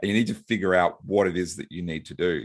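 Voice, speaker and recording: Talking at a very fast pace, a man with an Australian accent uses a very deep, low pitch. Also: very clean recording, silent background. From Australia, Brisbane. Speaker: business lawyer and author. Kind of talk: podcast interview. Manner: halting, with fillers and repeats.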